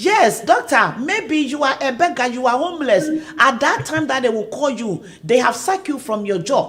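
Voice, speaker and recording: A woman talks at a moderate pace with a high pitch and very wide pitch swings. Noticeable background noise runs underneath. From Ghana. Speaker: online talk show host. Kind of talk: live stream promotional chat. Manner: animated.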